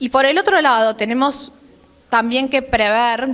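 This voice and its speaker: The woman's voice sits at a high pitch. Its pitch varies an ordinary amount. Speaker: government technology official. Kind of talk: conference talk. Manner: fast.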